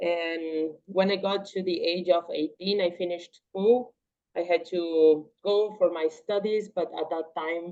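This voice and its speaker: A woman with a Portuguese accent speaks at a fairly slow pace with a fairly low pitch and fairly even intonation. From Paraguay, Triple Border area. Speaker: martial arts athlete and engineer. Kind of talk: interview.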